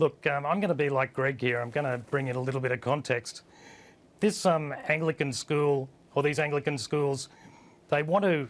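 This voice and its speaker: Speaking with an Australian accent, a man uses a fairly high pitch, ordinary pitch variation, and a moderate pace. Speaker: online news editor and publisher. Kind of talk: TV panel discussion. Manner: hesitant, many fillers.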